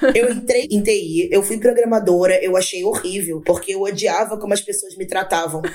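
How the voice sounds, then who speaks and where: Noticeable background noise sits behind this voice at a moderate pace. The pitch varies in an ordinary way, with hardly any pauses. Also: woman, medium pitch for a woman. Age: 30s. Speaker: agile project manager. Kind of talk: casual chat.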